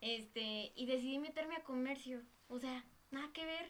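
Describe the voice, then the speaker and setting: At a moderate pace, the delivery shows ordinary pitch variation. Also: woman. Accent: Mexican. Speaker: podcast guest. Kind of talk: casual chat.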